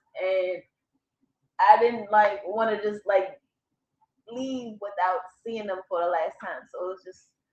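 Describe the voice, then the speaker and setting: Over music in the background, a woman speaks at a fairly slow pace with long, frequent pauses. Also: medium pitch for a woman, big swings in loudness. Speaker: spiritual conspiracy vlogger. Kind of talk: casual monologue. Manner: animated, profane; long-winded.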